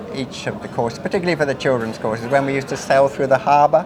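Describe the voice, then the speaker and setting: Over noticeable background noise and audible room echo, a man speaks in a fairly high pitch. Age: 60s. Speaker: retired sea captain. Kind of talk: interview reminiscence. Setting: informal dinner gathering. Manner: hesitant with repetitions.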